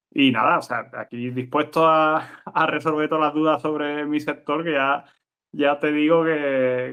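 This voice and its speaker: A man with an Andalusian accent, monotone and flat, at a fairly slow pace. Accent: Andalusian (Cádiz). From Andalusia, Cádiz (El Puerto de Santa María). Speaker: TV scriptwriter. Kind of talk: interview conversation.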